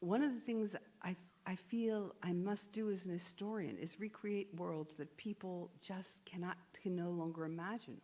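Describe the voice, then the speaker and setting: A woman's plain, everyday voice with an American accent, a moderate pace and ordinary pitch variation. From United States. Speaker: historian and author. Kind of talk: onstage interview.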